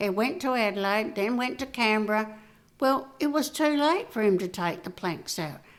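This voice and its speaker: The woman's fairly high voice has lively intonation. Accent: Australian. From South Australia, Riverland. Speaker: community volunteer. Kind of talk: interview answer.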